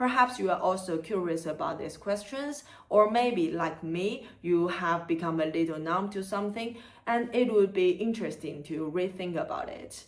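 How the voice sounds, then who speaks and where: Over noticeable background noise, a woman with a Chinese accent talks at a medium pitch and a moderate pace with ordinary pitch variation. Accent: Chinese accent, non-native English. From China, Chengdu (southwest). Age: 30s. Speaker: content creator and museum worker. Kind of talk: scripted channel introduction.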